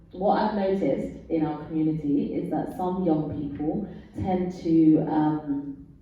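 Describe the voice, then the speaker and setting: A woman speaks at a fairly low pitch and fairly slow pace with fairly even intonation, amid noticeable background noise and audible room echo. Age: 40s. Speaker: panelist. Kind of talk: panel discussion.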